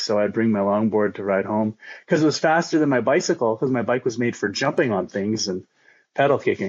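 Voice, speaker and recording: A man talks in a normal speaking voice with a Canadian accent. His pace is fairly quick and his pitch varies in an ordinary way. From Eastern Canada, near Toronto. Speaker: long-distance skateboarder. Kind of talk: casual chat.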